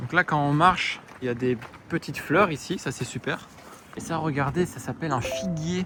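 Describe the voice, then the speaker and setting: Background noise is noticeable behind a man's voice. His pitch is fairly high, with ordinary variation. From southern France, Provence. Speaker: French teacher. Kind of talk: vlog-style language lesson. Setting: outdoors. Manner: slow, clear.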